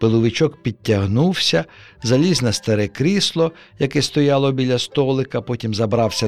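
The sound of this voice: The reading voice here is unforced.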